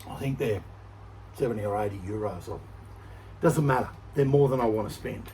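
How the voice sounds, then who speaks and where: A man with a fairly low voice speaks at a fairly quick pace with ordinary pitch variation, yet leaves long, frequent pauses. Room echo is audible. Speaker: motorcycle restorer, video maker. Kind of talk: workshop tutorial. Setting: shed. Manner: loud. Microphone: no microphone, shouting.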